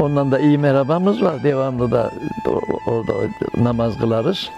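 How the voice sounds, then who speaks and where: Clear music plays in the background as a man speaks at a fairly high pitch with ordinary pitch variation. The sound is dry with no echo. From Karapınar, Konya, Turkey. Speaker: tailor. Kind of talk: interview answer. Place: home room. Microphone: lapel.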